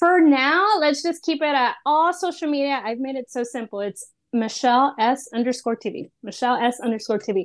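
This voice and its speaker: A woman with a Spanish accent speaks at a moderate pace and a high pitch. Her intonation is lively, and the background is quiet. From Austin, Texas. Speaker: freelance sports reporter. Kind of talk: casual interview.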